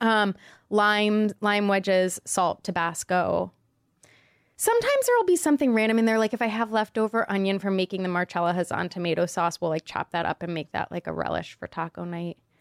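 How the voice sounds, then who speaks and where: A normal speaking voice from a woman, medium in pitch, with ordinary pitch variation, a fairly quick pace, and a dry, close sound with no echo. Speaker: podcast co-host. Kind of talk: casual chat. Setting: studio.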